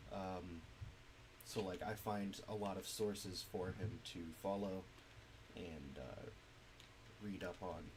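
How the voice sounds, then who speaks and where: Amid audible room echo, a man speaks in a very deep, low pitch with fairly even intonation. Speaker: streamer and indie game developer. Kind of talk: casual gaming stream chat. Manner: hesitant, many fillers.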